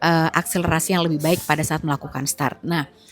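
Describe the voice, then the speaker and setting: A soft-spoken woman talks at a fairly low pitch over noticeable background noise. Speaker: motorsport podcast host. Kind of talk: solo commentary review. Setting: outdoors in a public place. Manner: soft-spoken, lower voice; casual, chatty.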